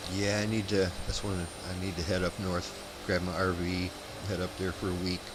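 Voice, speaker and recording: Speaking at a moderate pace, a man with an American accent has a very deep, low pitch and monotone, flat intonation. Audible room echo and noticeable background noise surround him. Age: 50s. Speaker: flight sim streamer. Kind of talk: casual chat.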